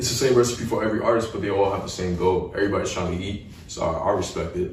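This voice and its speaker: With audible room echo, a man speaks at a very fast pace in a fairly low, somewhat breathy voice with ordinary pitch variation. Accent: American. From New York City, Staten Island. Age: young. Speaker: rapper. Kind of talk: casual interview. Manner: casual, filler-heavy.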